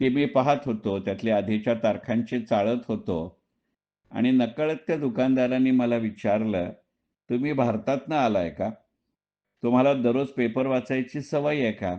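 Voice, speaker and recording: Against a quiet background, a man speaks in a plain, everyday voice. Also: medium pitch for a man, ordinary pitch variation. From Dombivli, Maharashtra, India. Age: 60s. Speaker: retired stock market professional and writer. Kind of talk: personal monologue audio recording.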